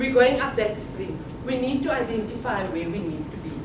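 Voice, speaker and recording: A loud voice with very wide pitch swings carries over noticeable background noise and audible room echo. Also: woman. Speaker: motivational speaker. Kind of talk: conference talk. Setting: conference hall with audience. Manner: loud, projecting without a microphone; animated. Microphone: no microphone.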